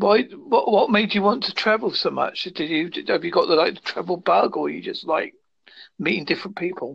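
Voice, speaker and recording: This man has a British accent. He talks at a fairly quick speed. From United Kingdom. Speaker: guest. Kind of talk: casual chat.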